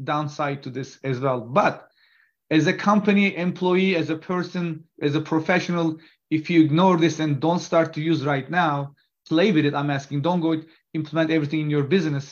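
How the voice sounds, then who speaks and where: A man with a normal speaking voice and a fairly high pitch talks fairly quickly with fairly even intonation against a quiet background. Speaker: company CEO and innovation officer. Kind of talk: interview.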